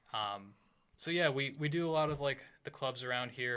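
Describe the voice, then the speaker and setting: Soft-spoken, a man talks at a moderate pace with a bright, sharp tone and an American accent. His pitch varies in an ordinary way. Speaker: rock band guitarist and singer. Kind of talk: casual chat. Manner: quiet, soft-spoken.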